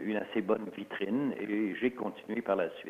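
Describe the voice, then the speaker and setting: Ordinary pitch variation accompanies a moderate speaking pace. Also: man. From Alsace, then Quebec from the 1950s. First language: Alsatian (speaking French). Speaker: author and historian. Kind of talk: interview. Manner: hesitant, many fillers.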